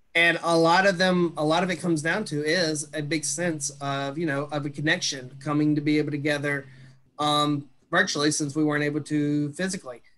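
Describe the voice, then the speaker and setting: In a Mississippi accent, the voice is monotone and flat with a bright, sharp tone. The pace is fairly quick. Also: man, fairly high pitch for a man. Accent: Southern US (Mississippi). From Mississippi, US South. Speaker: social worker, transition specialist; webinar presenter. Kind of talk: webinar presentation. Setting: video call. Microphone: webcam.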